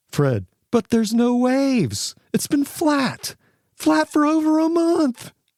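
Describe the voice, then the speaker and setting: A put-on character voice at a fairly slow pace. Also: man, extremely high pitch for a man. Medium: read story.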